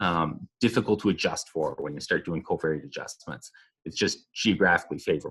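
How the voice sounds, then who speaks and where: A man speaks with a Minnesotan accent and lively intonation. His pace is fairly quick. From southern Minnesota, US. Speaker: epidemiologist. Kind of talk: podcast interview.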